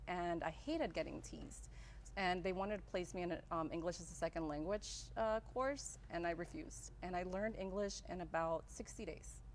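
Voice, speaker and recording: A woman speaks at a moderate pace in a Spanish accent. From El Salvador, raised in Las Vegas from childhood. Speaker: graphic designer, business owner. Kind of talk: interview. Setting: live-streamed show.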